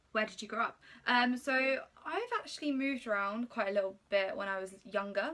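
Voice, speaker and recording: Fairly high in pitch, a woman with a southern English accent talks at a moderate pace with ordinary pitch variation. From England, Slough (west of London). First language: Polish. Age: 20s. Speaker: YouTuber. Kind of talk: casual chat. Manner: hesitant, many fillers.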